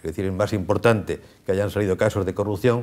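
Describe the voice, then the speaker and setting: Fairly quick delivery from a man with a very deep, low pitch and ordinary pitch variation. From Spain, La Unión (Murcia region). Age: 70s. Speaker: veteran regional politician. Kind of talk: TV interview.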